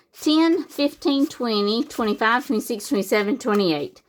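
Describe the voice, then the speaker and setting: On a very clean recording with a silent background, a woman speaks in a fairly high pitch with a Southern US accent. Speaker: savings challenge YouTuber. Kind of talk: casual tutorial-style vlog narration. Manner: casual, chatty with fillers.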